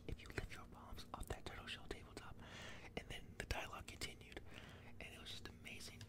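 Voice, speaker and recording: A man whispers at a fairly quick pace amid noticeable background noise. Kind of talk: ASMR close whisper movie ranking talk. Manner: whispered, close-mic.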